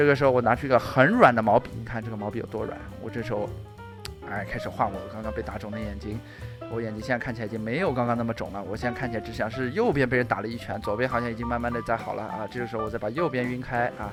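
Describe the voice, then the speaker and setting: A man at a very fast pace with ordinary pitch variation, music in the background. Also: medium pitch for a man. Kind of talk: joking improvised makeup voice-over. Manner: playful, rambling.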